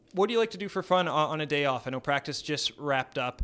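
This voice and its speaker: Talking very fast, a man with a Canadian accent uses a fairly high pitch and lively intonation. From Edmonton, Alberta, Canada. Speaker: sports podcast host. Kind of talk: casual interview. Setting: stadium.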